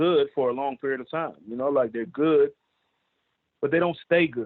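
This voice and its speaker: His pace is very fast. The man talks with an American accent. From Washington DC, Adams Morgan. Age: 40s. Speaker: rapper.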